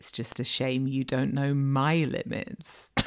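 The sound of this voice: A woman puts on a character voice with vocal fry, speaking slowly at an extremely low pitch with fairly even intonation.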